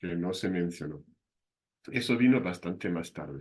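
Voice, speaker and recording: A man with a slight German accent, moderate pace, ordinary pitch variation, and a quiet background. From southern Germany. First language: German (speaking Spanish). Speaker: university lecturer. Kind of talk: lecture.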